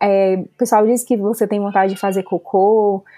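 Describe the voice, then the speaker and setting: Her voice has a dark, mellow tone, and the woman keeps to a moderate pace. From Brazil, Fortaleza (Ceará). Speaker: veterinarian and new mother. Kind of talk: interview testimony.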